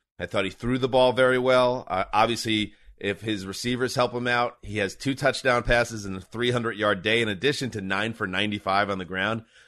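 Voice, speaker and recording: A speaker with an American accent and a bright, sharp tone talks at a moderate pace. The intonation is fairly even, and the background is quiet. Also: man. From New York. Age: 40s. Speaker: sports podcast host. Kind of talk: casual chat.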